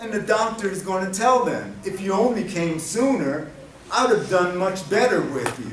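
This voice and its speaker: With a New Jersey accent, a man speaks at a high pitch and a fairly slow pace. Audible room echo and noticeable background noise are present. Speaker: domestic violence prevention specialist. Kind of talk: conference workshop talk. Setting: convention center workshop. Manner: animated.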